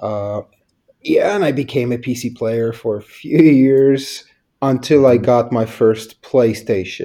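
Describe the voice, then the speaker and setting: Very slowly, a man speaks with ordinary pitch variation. His tone is dark and mellow. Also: medium pitch for a man. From Poland. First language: Polish. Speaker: game publisher. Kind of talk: interview.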